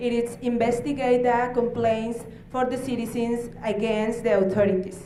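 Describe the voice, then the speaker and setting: A woman with a non-native accent speaks at a fairly high pitch in a monotone, flat intonation, with audible room echo and noticeable background noise. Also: moderate pace. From Mexico, Baja California. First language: Spanish. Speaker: human rights official. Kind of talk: conference presentation. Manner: halting.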